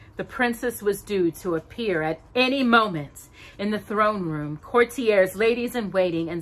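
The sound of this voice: Unforced reading, start to finish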